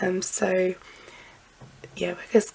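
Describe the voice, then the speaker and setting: A woman speaks quietly against noticeable background noise. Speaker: lifestyle vlogger. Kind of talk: casual vlog talk to camera. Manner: hesitant with frequent um.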